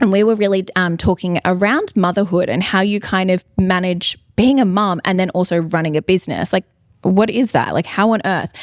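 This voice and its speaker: Speaking at a moderate pace with an Australian accent, a woman keeps a medium pitch, fairly even intonation and very even loudness, recorded very cleanly against a silent background with a dry, close sound with no echo. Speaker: podcast host. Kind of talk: casual interview chat. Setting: live at a bridal trade show.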